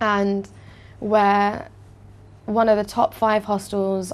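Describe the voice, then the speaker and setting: Here a woman speaks with a British accent. Her pitch is medium, against a quiet background. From London, England. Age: 20s. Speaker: hostel owner. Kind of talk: interview.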